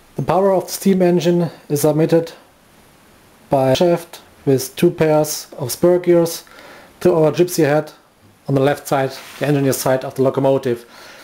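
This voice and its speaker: Speaking with a German accent, a man with a fairly high pitch keeps his intonation fairly even at a moderate pace, with long, frequent pauses. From Germany. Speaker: hobbyist model engineer. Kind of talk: video commentary. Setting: workshop. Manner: halting.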